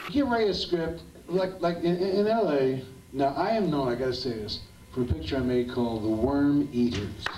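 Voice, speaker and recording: Noticeable background noise and audible room echo around a man's fairly high voice, with very wide pitch swings at a moderate pace. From US Northeast (Pennsylvania/South Jersey). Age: 70s. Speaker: actor. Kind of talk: live Q&A storytelling. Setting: cinema stage with audience. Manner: animated, repetitive stammering.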